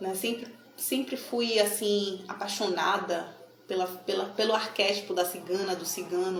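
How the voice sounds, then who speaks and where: A woman with a Bahian accent speaks at a medium pitch amid audible room echo and noticeable background noise. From Bahia, Brazil (Salvador). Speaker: tarot card reader. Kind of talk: casual talk to camera. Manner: animated.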